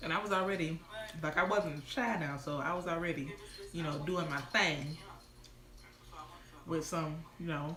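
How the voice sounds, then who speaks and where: The speaker has an animated tone, ordinary pitch variation and a moderate pace, with long, frequent pauses. Audible room echo and noticeable background noise are present. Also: woman, fairly low pitch for a woman. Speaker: lifestyle vlogger. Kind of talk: casual livestream storytime. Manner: casual, animated.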